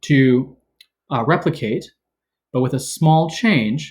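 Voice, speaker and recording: Against a quiet background, a man speaks in a somewhat breathy voice with ordinary pitch variation. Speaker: teacher. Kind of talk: tutorial. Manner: fast. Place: home room. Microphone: webcam.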